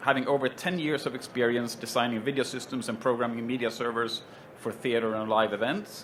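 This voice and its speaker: Fairly even intonation in a Swedish accent at a fairly quick pace, with audible room echo. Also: man. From Sweden. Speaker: panel moderator, tech company solutions head. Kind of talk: panel introduction at trade show. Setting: stage with live audience at trade show. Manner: hesitant, many fillers.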